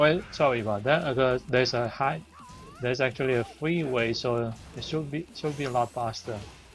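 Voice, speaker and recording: Music in the background behind a man's medium pitch and ordinary pitch variation. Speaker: gaming streamer. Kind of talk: casual chat. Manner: halting.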